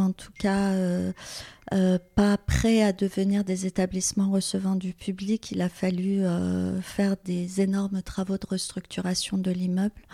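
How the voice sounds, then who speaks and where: A somewhat breathy woman at a medium pitch, monotone and flat, at a fairly slow pace on a very clean recording with a silent background. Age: 50s. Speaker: business founder. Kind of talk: interview. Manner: hesitant, many fillers.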